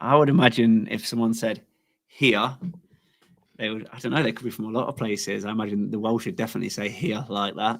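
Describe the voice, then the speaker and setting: Speaking at a very fast pace with a strong Leicester accent, a man uses medium pitch and ordinary pitch variation. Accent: Leicester English, strong local. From England, Leicester. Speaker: coin artist. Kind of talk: casual chat. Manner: halting, many false starts.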